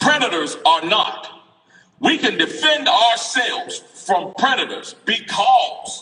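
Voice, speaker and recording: Very wide pitch swings run through this very slow delivery, while the loudness stays very even. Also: man, extremely high pitch for a man. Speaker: political speaker at a rally. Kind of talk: impassioned rally speech. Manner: animated.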